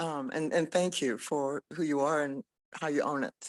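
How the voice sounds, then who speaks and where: Ordinary pitch variation and a moderate pace come through in a dry, close sound with no echo. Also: woman. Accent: American. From US (Indian American). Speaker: business leader. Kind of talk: panel discussion.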